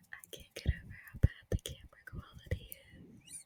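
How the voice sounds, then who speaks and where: Someone whispers at a fairly slow pace. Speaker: ASMR creator. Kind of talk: whispered ASMR ramble. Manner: whispered.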